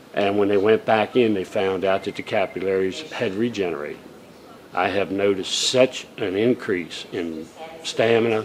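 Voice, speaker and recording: A man with a fairly low pitch, fairly even intonation and a moderate pace, over noticeable background noise. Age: 60s. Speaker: heart patient. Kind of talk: testimonial interview.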